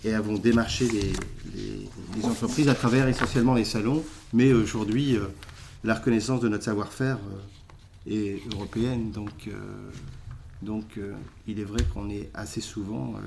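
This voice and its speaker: With long, frequent pauses and audible room echo, a man talks at a fairly slow pace in a medium pitch with fairly even intonation. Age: 40s. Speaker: food company executive. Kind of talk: interview. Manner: halting, many repetitions.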